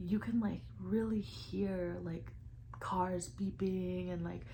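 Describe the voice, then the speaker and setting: Room echo is audible around this woman's voice. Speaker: lifestyle vlogger. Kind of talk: casual vlog talk to camera.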